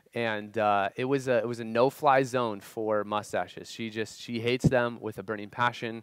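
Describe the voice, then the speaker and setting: A man at a moderate pace with fairly even intonation, dry with no echo, against a quiet background. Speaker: youth pastor. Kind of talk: sermon. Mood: humorous personal story. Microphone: headset.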